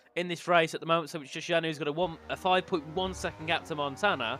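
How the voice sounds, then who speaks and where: A man's fairly high, bright, sharp voice with vocal fry, at a very fast pace. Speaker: sim racing commentator. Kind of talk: live commentary. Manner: animated.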